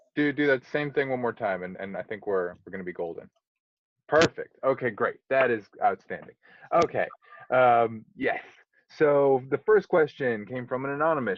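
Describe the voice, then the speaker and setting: Speaking at a moderate pace, a man uses medium pitch and lively intonation. His is an unremarkable speaking voice. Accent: American. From Buffalo, New York, US. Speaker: interviewer. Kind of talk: interview.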